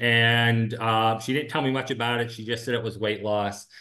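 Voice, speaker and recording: A man's medium-pitched voice at a moderate pace, a plain, everyday voice, over a quiet background. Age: 60s. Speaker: physician. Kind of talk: casual chat.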